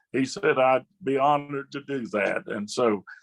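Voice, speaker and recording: A man speaks in an Appalachian accent with ordinary pitch variation. The sound is dry and close, with no echo. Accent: Appalachian US Southern. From West Virginia. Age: 70s. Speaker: southern gospel singer and songwriter. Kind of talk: casual interview chat. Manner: halting, many fillers.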